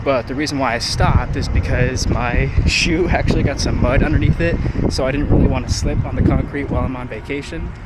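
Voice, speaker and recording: Audible room echo and noticeable background noise surround a man speaking at a fairly quick pace. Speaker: fitness vlogger. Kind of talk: vlog narration. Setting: outdoors. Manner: loud. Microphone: no microphone, camera mic.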